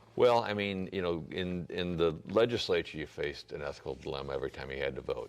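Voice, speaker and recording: A man with an American accent speaks at a fairly quick pace, hardly pausing at all. His pitch is very deep and low, with vocal fry. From US Midwest, St. Louis area. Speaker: political candidate. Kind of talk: interview. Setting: church. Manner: halting, many fillers and repeats.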